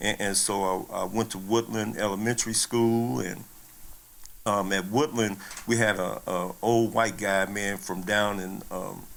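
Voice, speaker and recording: A fairly low male voice with an American accent and fairly even intonation. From Kansas City, Missouri. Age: 60s. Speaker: former athlete. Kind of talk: interview storytelling. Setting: on-camera interview. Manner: hesitant with fillers and repeats.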